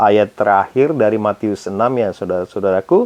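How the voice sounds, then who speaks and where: A man speaks with lively intonation. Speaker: Bible reader. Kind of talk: reading aloud. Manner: casual, informal asides.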